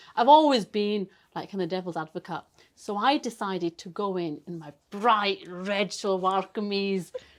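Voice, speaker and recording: A woman with a Yorkshire accent talks in an animated tone, her loudness rising and falling in big swings. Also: medium pitch for a woman, ordinary pitch variation, moderate pace, very clean recording, silent background. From northern England, Bradford. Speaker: broadcast journalist. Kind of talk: casual interview chat.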